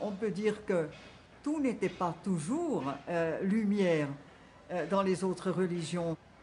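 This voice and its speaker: A woman speaks at a very slow pace with long, frequent pauses. Her voice is somewhat breathy. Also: medium pitch for a woman, ordinary pitch variation. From Switzerland, canton of Bern. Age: 70s. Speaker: collector of voodoo objects. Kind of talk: documentary interview answer.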